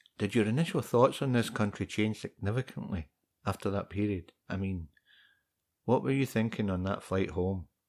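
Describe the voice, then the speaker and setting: On a very clean recording with a silent background, a man with a Scottish accent speaks at a fairly low pitch and moderate pace with lively intonation. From Scotland. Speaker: podcast host. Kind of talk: casual interview.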